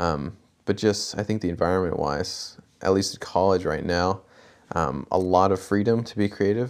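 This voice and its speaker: Very deep, low-pitched male speech with an American accent, ordinary pitch variation and a moderate pace, in a very clean recording with a silent background. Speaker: film student and director. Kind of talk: casual interview.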